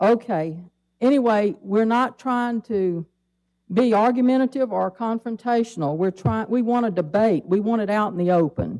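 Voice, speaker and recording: The tone is dark and mellow, with an Alabama accent. The pace is moderate, with ordinary pitch variation. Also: woman, fairly high pitch for a woman. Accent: Southern US (Alabama). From Mobile, Alabama (US South). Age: 70s. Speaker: public commenter, retiree. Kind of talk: public comment at city council. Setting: city council meeting.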